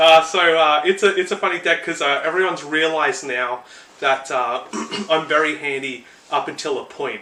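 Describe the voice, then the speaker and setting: A man's fairly high voice with an Australian accent at a moderate pace, ordinary pitch variation and noticeable background noise. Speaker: podcast co-host. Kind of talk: casual chat.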